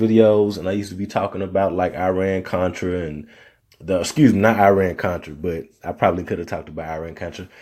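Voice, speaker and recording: Very fast speech from a man with an American accent, dark and mellow in tone, on a very clean recording with a silent background. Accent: Southern, comes and goes. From Arkansas, US South. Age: 30s. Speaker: podcast host. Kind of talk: solo podcast monologue. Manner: casual, conversational.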